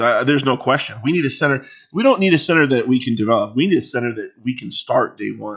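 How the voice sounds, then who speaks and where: A man is speaking. His pitch sits in the middle range. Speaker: sports streamer, fan commentator. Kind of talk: casual live stream chat. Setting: live stream. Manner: loud; animated.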